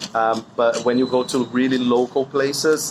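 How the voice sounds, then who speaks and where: A man speaks with fairly even intonation, noticeable background noise audible throughout. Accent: Portuguese. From Brazil, São Paulo. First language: Portuguese. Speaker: interviewee, language learner. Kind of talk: casual interview. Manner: halting, many fillers.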